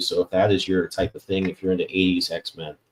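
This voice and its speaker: Speaking at a very fast pace, a man with a very deep, low pitch comes through in a dry, close sound with no echo. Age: 40s. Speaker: podcast host and comic artist. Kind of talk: casual interview chat.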